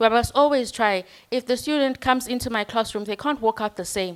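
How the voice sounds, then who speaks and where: With ordinary pitch variation, a woman's words come at a moderate pace. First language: not English. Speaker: university lecturer. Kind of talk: panel discussion.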